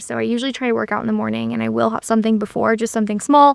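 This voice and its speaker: A woman with a fairly high pitch is heard in a dry, close sound with no echo. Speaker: dietitian and video blogger. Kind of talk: vlog monologue. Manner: fast; casual.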